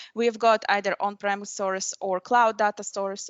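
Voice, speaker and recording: A woman with a non-native accent. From Middle East. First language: not English. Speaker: software program manager and conference speaker. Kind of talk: technical presentation. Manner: hesitant, many fillers.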